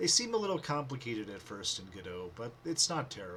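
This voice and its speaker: A man speaks at a moderate pace. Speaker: programmer. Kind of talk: coding tutorial narration. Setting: webcam microphone.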